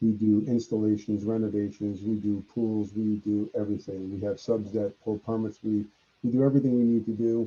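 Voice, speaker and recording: His pitch is fairly low. The man talks in a monotone, flat intonation. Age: 60s. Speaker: landscape business owner. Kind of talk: webinar Q&A. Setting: video call.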